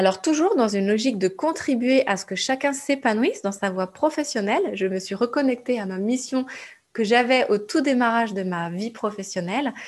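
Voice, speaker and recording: A woman speaks in an unremarkable speaking voice at a moderate pace. Her intonation is lively. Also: fairly high pitch for a woman. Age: 30s. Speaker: podcast host, entrepreneurship coach. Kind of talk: monologue podcast intro.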